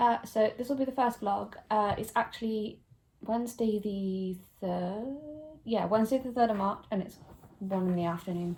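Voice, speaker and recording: In a British accent, a woman speaks at a moderate pace. Her pitch is fairly high, with ordinary variation. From UK. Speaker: book vlogger. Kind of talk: casual vlog.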